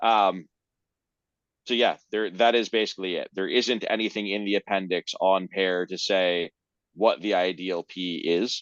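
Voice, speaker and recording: A man talks in a normal speaking voice, fairly low in pitch and at a fairly slow pace, with fairly even intonation. The sound is dry and close with no echo over a quiet background. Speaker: presenter of a research paper. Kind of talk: technical paper presentation with Q&A. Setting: video call.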